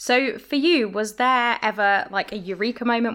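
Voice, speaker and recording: The recording is very clean, with a silent background. The intonation is fairly even. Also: woman. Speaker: podcast host. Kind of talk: interview.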